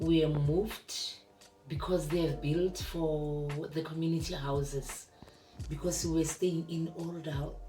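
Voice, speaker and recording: Monotone, flat delivery at a fairly slow pace, with noticeable background noise and audible room echo. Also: woman, very deep, low pitch for a woman. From South Africa, Limpopo. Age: 60s. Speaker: retired teacher. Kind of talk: interview.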